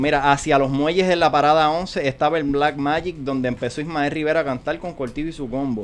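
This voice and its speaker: A man's normal speaking voice at a fairly high pitch, with fairly even intonation and hardly any pauses. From Puerto Rico and New York. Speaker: podcast guest. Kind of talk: casual chat.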